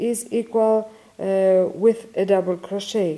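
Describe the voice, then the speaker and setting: This speaker has a Greek accent. The delivery is very slow. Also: woman. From Greece. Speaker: crochet teacher. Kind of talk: tutorial. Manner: halting.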